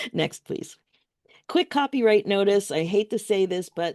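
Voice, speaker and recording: With lively intonation and a moderate pace, an unremarkable speaking voice comes through in a dry, close sound with no echo against a quiet background. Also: woman. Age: 60s. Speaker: life coach. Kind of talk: workshop presentation. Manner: occasional word-search pauses.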